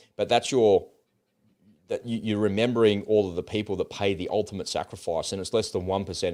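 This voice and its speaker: At a very fast pace, the voice has a dark, mellow tone and an Australian accent on a very clean recording with a silent background. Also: man. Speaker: podcast co-host. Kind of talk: casual chat. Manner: animated.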